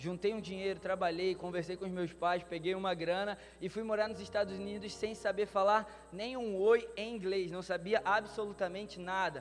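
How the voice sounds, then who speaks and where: A man talks at a high pitch and a moderate pace, his intonation monotone and flat. Noticeable background noise is present. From Brazil. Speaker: pastor. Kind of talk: sermon. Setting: church conference with live audience.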